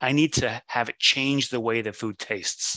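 A man speaks in a normal speaking voice of medium pitch with ordinary pitch variation, the sound dry and close with no echo and the background quiet. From Catalonia, Spain, moved to US at 7. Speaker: olive oil importer. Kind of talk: casual interview.

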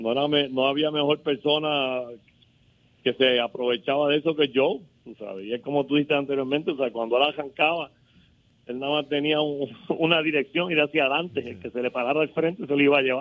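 A man talks fairly quickly at a fairly high pitch. It is a plain, everyday voice. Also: ordinary pitch variation. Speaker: former basketball player. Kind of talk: phone interview. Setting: phone call.

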